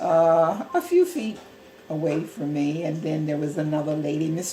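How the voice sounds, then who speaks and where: Over music in the background, a woman with an American accent speaks at a very deep, low pitch. Her pace is fairly slow, and the room echo is audible. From US South, northeastern North Carolina. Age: 80s+. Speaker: grandmother interviewed by grandson. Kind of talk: interview. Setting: at home, living room.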